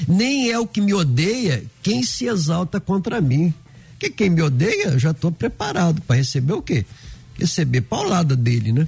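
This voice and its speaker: This man's pitch ranges very widely. He talks fairly slowly. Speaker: pastor.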